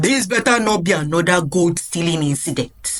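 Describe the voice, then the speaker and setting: A man does a put-on character voice pitched high. His intonation is lively and his pace moderate. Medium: read story. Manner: grumbling.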